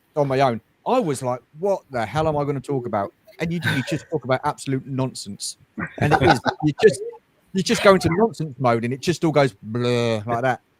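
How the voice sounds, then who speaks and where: With a British accent, a man with a fairly high voice speaks at a fairly quick pace and lively intonation, recorded dry and close with no echo. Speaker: toy collector YouTuber. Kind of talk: casual chat. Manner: fast when excited.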